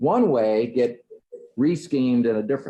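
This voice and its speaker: A man speaks at a moderate pace with a medium pitch. His is a plain, everyday voice. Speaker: clergy Bible study leader. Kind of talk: Bible study teaching.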